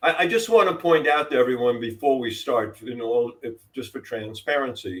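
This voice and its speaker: A medium-pitched man with a New York accent speaks at a moderate pace with hardly any pauses. His intonation is lively and his loudness swings widely. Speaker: podcast co-host. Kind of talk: casual podcast chat.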